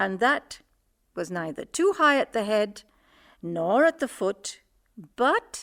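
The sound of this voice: An unforced reading voice over a quiet background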